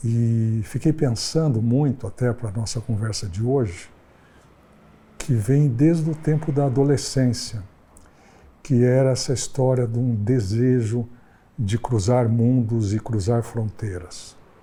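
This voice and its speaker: A man's somewhat breathy voice, dark and mellow in tone, at a very slow pace with ordinary pitch variation. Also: medium pitch for a man. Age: 70s. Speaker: psychoanalyst. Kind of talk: interview-style personal reflection.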